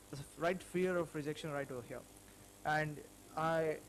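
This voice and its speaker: Fairly high in pitch, a man's voice keeps a fairly even intonation. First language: not English. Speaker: small business owner. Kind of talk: personal vlog. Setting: self-recorded video. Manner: halting.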